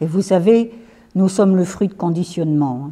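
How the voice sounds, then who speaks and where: Lively intonation carries a woman's dark, mellow tone at a medium pitch. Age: 70s. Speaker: retired teacher giving a talk. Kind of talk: lecture. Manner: conversational.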